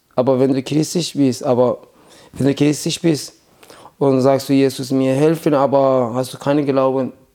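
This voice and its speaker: A man with a dark, mellow tone speaks at medium pitch. His intonation is monotone and flat, and his loudness stays very even. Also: moderate pace. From Iran. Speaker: refugee sharing faith story. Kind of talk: testimony. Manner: halting.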